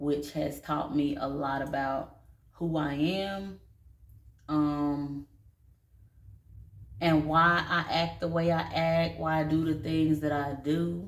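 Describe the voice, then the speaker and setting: A woman speaks very slowly in a relaxed tone, with a very deep, low pitch and fairly even intonation. Long, frequent pauses break her speech, and audible room echo surrounds it. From North Carolina, Statesville. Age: 30s. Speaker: vlogger and dance studio owner. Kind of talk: casual personal vlog. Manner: casual, relaxed.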